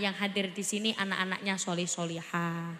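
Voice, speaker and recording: A woman speaks with a Javanese accent. Room echo can be heard. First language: Javanese (speaking Indonesian). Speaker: Islamic preacher. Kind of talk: sermon. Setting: stage with audience.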